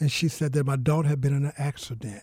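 A man is speaking at a medium pitch. His voice is somewhat breathy. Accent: American. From US South (Mississippi). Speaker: pastor and author. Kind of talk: interview testimony.

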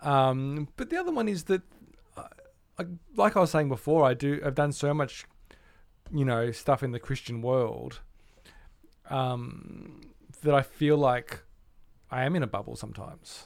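At a moderate pace and fairly high pitch, a man with an Australian accent speaks with long, frequent pauses. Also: ordinary pitch variation. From Australia, Melbourne. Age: 40s. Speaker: musician and music producer. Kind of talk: casual chat.

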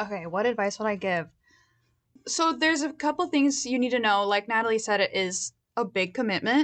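Against a quiet background, a woman with an unremarkable speaking voice talks at a fairly quick pace. Her pitch is fairly high and her loudness very even. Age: 20s. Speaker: graduate student in speech pathology. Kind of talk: interview. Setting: studio.

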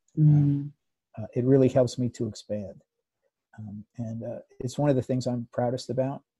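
Somewhat breathy and dark, mellow in tone, the voice carries an American accent with fairly even intonation at a moderate pace, in a dry, close sound with no echo. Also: man. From United States. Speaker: psychotherapist. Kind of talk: interview. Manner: halting.

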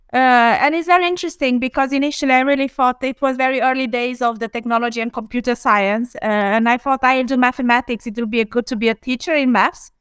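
A woman with a Romanian accent, high-pitched, very fast and with hardly any pauses, with ordinary pitch variation. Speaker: engineering executive. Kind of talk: live panel discussion.

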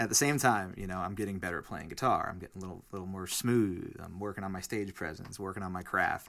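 In an American accent, a man speaks at a fairly quick pace with a very deep, low pitch and ordinary pitch variation, on a very clean recording with a silent background. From New Jersey, Weehawken. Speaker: singer-songwriter. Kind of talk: casual chat. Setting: studio.

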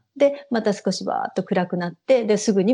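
With a dark, mellow tone and a medium pitch, a woman talks at a fairly quick pace with ordinary pitch variation, the sound dry and close with no echo. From Japan, Saitama (Ogawa). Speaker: Japanese expatriate in Sweden. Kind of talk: casual interview.

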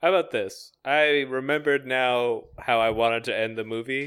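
At a moderate pace, a man with a normal speaking voice talks at a medium pitch with fairly even intonation. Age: 20s. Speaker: podcast co-host. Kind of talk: casual comedic chat.

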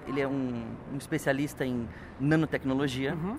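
A man at a fairly quick pace, fairly high in pitch with ordinary variation, over noticeable background noise. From Brazil, São Paulo ABC region. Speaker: environmental and energy specialist. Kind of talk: interview. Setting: event venue in San Francisco.

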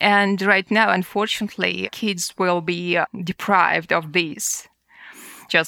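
In a very clean, dry, close recording with no echo and a silent background, a woman speaks in a bright, sharp tone with vocal fry. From Buryatia, Russia. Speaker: activist and research scientist. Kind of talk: interview conversation.

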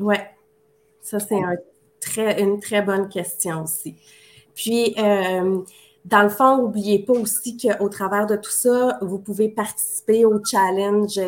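A woman speaks very slowly at a medium pitch with fairly even intonation, in a very clean recording with a silent background. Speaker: marketing coach. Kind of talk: live-streamed promotional chat.

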